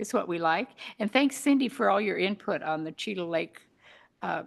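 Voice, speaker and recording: Against a quiet background, a woman with a medium pitch speaks at a moderate pace, her intonation lively and her voice showing vocal fry. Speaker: parks committee member. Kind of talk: public meeting update.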